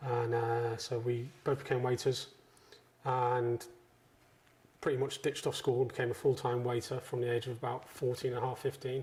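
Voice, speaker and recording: Somewhat breathy, this male voice carries through. The intonation stays flat and monotone. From northwest England, Chester. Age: 40s. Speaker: chef. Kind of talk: interview. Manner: casual.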